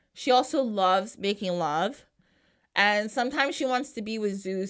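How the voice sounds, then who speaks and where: On a very clean recording with a silent background, a woman with an American accent speaks at medium pitch with lively intonation. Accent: New Jersey, strong at moments. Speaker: podcast host. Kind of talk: casual podcast storytelling. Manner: animated.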